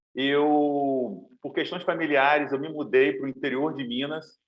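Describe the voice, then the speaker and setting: Audible room echo follows a man's voice. His pitch is fairly high and his intonation fairly even. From Brazil, Niterói, Rio de Janeiro. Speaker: specialty coffee roaster. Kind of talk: webinar presentation.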